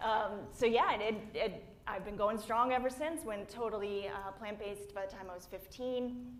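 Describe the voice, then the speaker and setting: A woman with a fairly high pitch and ordinary pitch variation talks at a moderate pace, her loudness swinging widely. Audible room echo surrounds her voice. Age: 40s. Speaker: plant-based athlete. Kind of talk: panel discussion. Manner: animated.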